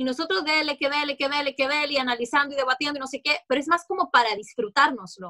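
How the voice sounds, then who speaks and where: In a Honduran accent, a woman speaks very fast with hardly any pauses, her high voice raised and projected, bright and sharp in tone, with ordinary pitch variation and a dry, close sound with no echo. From Honduras. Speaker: TV sports and news presenter. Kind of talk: interview.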